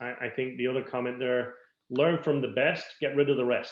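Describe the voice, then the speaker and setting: The speech comes at a fairly quick pace with a Dublin accent. The intonation stays monotone and flat. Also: man. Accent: Irish (Dublin). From Ireland, Dublin. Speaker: business coach and interviewer. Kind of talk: interview.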